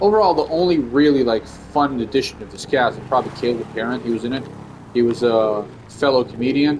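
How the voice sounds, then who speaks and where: This is a man with a medium-pitched voice. His pitch varies in an ordinary way, and noticeable background noise is present. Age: 30s. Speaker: comedian and gaming streamer. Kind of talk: casual gaming stream chat. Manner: casual, rambling with fillers.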